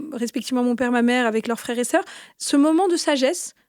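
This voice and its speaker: A woman speaks very fast, her pitch high with ordinary variation. The recording is very clean, with a silent background. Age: 30s. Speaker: podcast host. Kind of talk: interview.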